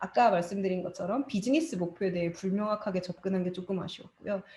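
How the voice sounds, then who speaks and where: A woman speaks very fast at a medium pitch. Her tone is dark and mellow, and somewhat breathy. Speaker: study group presenter, digital marketer. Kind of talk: presentation.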